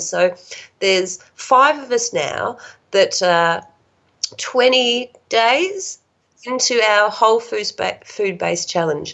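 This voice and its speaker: A woman talks in an Australian accent with lively intonation. Her pitch is fairly high. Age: 50s. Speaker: support worker sharing health recovery story. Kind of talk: casual interview, personal story.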